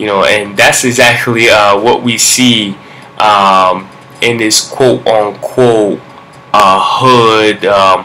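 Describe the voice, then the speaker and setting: Noticeable background noise surrounds a man who talks with a Brooklyn accent, his fairly low voice keeping a fairly even intonation. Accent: New York (Brooklyn). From Brooklyn, New York. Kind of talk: vlog monologue with preaching. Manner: halting, many fillers.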